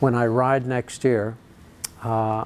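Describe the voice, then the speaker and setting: A man speaks in an unremarkable speaking voice with an American accent. His pitch sits in the medium range, his intonation is fairly even, and his pace is moderate. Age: 60s. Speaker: long-distance cyclist and charity founder. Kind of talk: interview.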